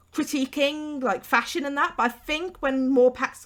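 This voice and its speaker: This speaker talks at a fairly quick pace. The voice comes with a West Midlands accent. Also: woman. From England, West Midlands. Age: 20s. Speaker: YouTuber, gaming let's player. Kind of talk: casual gameplay commentary. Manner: unscripted, hesitant with fillers.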